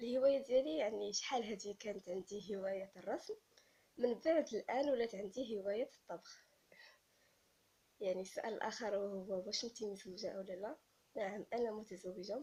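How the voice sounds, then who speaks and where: A woman talks at a moderate pace with ordinary pitch variation. Her tone is dark and mellow. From Morocco, Essaouira and Tiznit. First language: Amazigh (Berber) (speaking Arabic). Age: 20s. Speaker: YouTuber, university student. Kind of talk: casual vlog, Q&A about herself.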